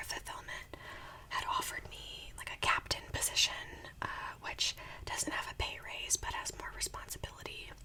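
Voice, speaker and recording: Whispering in a soothing tone at a moderate pace, over noticeable background noise. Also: woman. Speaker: ASMR creator; part-time retail worker and full-time student. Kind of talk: whispered ramble while eating, casual talk to camera. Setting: home recording with a desktop USB microphone. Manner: whispering, soothing, chatty.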